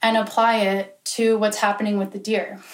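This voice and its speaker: A woman with an American accent talks at a moderate pace and a fairly high pitch. It is an unremarkable speaking voice. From Pennsylvania. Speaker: student presenter. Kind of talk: presentation to a small group.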